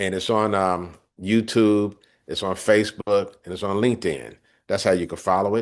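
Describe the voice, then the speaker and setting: A man speaks at a moderate pace with a fairly low pitch over a quiet background. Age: 60s. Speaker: podcast host and cybersecurity training advocate. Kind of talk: interview conversation. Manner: halting, with fillers.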